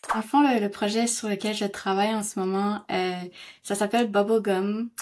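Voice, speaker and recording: A woman's medium-pitched voice, fairly slow and fairly even in intonation, on a very clean recording with a silent background. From northern New Brunswick, Canada (Kedgwick). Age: 20s. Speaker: actress and playwright. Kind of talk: interview testimony. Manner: halting, many hesitations.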